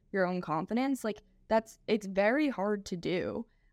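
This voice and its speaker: A woman with a normal speaking voice and medium pitch speaks at a moderate pace with lively intonation, recorded very cleanly against silence with a dry, close sound and no echo. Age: 20s. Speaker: nutrition coach. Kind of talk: casual interview chat.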